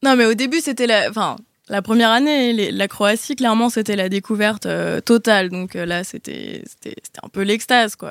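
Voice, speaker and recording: An unremarkable speaking voice, ordinary pitch variation, and a moderate pace. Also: woman, fairly high pitch for a woman. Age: 20s. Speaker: actress. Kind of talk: casual chat.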